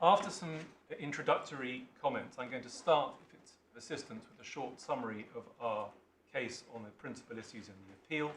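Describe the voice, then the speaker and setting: A man with an English accent speaks at a medium pitch and a fairly quick pace, with lively intonation and big swings in loudness. Audible room echo is present. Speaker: barrister. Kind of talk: legal submission in court. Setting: courtroom. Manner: formal.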